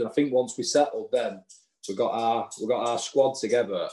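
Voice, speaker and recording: Medium-pitched man in a strong Lancashire accent, with a dark, mellow tone and a moderate pace. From Lancashire, England. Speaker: non-league footballer. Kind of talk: casual interview chat.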